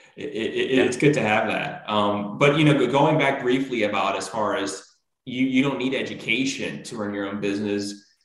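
At a moderate pace with hardly any pauses, a man speaks amid audible room echo. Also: ordinary pitch variation, quiet background. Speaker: business show host. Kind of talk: interview conversation. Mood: friendly, smiling. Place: home room.

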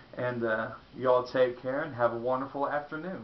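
A man with an American accent speaks at a medium pitch. There is audible echo from the room.

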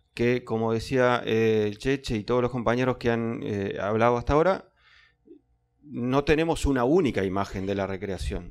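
The man's pitch varies in an ordinary way. Behind him, the background is quiet. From Uruguay. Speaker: cultural manager; public panelist. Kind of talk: panel talk. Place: classroom. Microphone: handheld.

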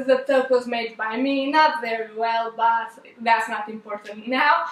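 A woman's bright, sharp tone with fairly even intonation and audible room echo. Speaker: fashion vlogger. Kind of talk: casual talk to camera. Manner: slow; halting, stuttering. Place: home room.

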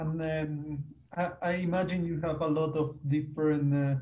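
Speaking with a Spanish accent, a man has a fairly high pitch. His pace is fairly slow and his intonation monotone and flat. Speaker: university lecturer. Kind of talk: webinar moderation. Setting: video call. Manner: halting. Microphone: video call.

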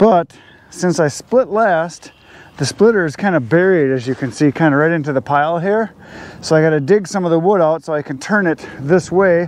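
Heard in a dry sound with no echo, a man with a high pitch talks at a moderate pace with ordinary pitch variation. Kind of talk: casual vlog chat. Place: garden. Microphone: lapel.

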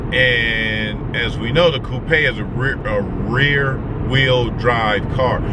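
Over loud background noise, a man speaks at a very slow pace with ordinary pitch variation, the sound dry with no echo. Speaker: vlogger on road trip. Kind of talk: casual vlog chat. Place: car. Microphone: phone near.

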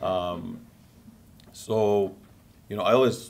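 Over light background noise, a man speaks in a very deep, low pitch with ordinary pitch variation. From Syria. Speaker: conference attendee. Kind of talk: personal testimony. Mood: earnest, passionate. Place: meeting room.

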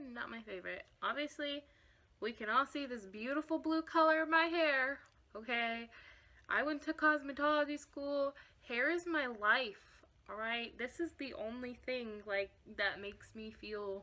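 Raised and projected, a woman's bright, sharp voice moves at a fairly slow pace with ordinary pitch variation and big swings in loudness. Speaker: vlogger. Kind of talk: casual vlog chat. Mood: candid, a bit wry. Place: home room. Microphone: phone near.

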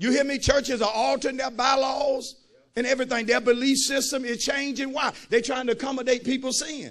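A man talks at a very fast pace in an animated tone. His voice sits extremely high in pitch. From United States. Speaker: pastor. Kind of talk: fiery call-and-response sermon, preaching to a live congregation. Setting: church. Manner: animated and emphatic, urging the crowd with Come on, somebody; conversational, folksy asides with repeated punchlines. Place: church. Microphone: handheld.

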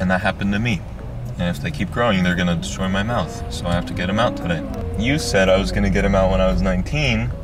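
A man talks at a very fast pace over clear background music, the sound dry with no echo. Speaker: vlogger. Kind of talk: casual vlog chat. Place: car. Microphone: phone near.

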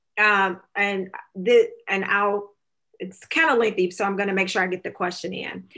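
A woman with a Southern US accent speaks at a moderate pace and medium pitch, her tone bright and sharp and her intonation fairly even, over a quiet background. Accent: US South. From Alabama, Talladega County; Alabama. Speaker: nonprofit director and moderator; moderator. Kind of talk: panel moderation. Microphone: webcam.

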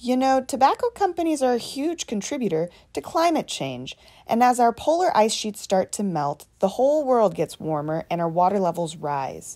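Over a quiet background, a woman with a fairly high pitch and a dark, mellow tone speaks at a moderate pace with very wide pitch swings. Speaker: educational presenter. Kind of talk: scripted educational dialogue. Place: open country.

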